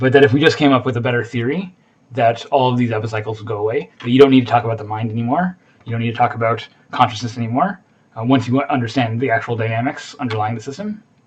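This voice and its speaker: At a very fast pace, a man speaks in a medium pitch. His voice is somewhat breathy. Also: ordinary pitch variation. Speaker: university instructor. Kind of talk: lecture. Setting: recorded video lecture. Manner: halting, many fillers.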